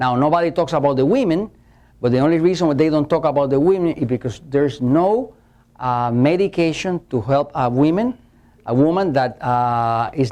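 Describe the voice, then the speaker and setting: A man's fairly high voice, dark and mellow in tone, at a moderate pace against a quiet background. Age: 60s. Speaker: metabolism specialist giving a seminar. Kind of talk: lecture. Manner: hesitant with many fillers.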